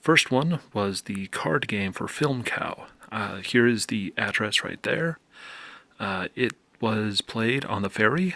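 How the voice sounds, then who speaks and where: A soft-spoken man at a medium pitch, with lively intonation, a very slow pace, a bright, sharp tone and a dry, close sound with no echo. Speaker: video game youtuber. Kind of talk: casual vlog commentary. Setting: at home late at night.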